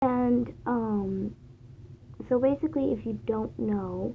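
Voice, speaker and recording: Quietly, a woman speaks at a very slow pace. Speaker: fan vlogger. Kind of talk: casual monologue. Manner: hesitant, many fillers.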